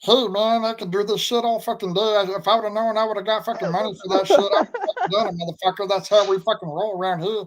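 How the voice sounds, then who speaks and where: A squeaky, put-on character voice at fairly high pitch. It races along at a very fast pace with hardly any pauses. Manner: crude, rapid rambling.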